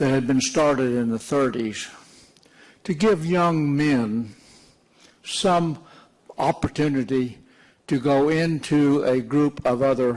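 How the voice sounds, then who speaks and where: A man with an American accent at a fairly high pitch and ordinary pitch variation, going at a very slow pace. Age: 80s+. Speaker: war veteran. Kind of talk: public talk recounting war memories.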